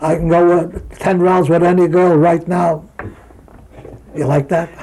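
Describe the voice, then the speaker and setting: With a New York accent, a man speaks at a fairly slow pace in a high pitch and a monotone, flat intonation, over noticeable background noise. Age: 80s+. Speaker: retired boxer. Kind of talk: interview. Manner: halting.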